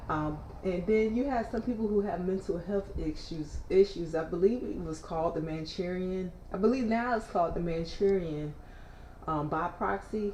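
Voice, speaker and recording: Noticeable background noise and audible room echo surround a woman talking at a moderate pace with a fairly low pitch and lively intonation. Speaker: livestreamer reading news. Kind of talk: casual news read and commentary. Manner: loud.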